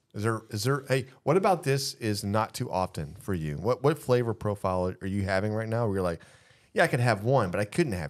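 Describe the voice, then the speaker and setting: A man with an American accent has an ordinary speaking voice, fairly low in pitch, moving at a fairly quick pace with lively intonation over a quiet background. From Texas. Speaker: barbecue podcast co-host. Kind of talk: casual chat. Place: studio. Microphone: studio mic.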